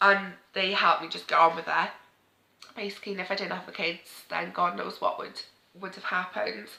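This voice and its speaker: A woman speaks with a Welsh accent at a medium pitch. Her pace is fairly quick and her intonation fairly even. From Wales. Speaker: parenting vlogger. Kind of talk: emotional sit-down talk to camera.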